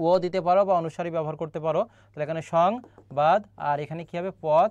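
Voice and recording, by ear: A man's fairly high voice with a slightly mellow tone, fairly even intonation and a moderate pace.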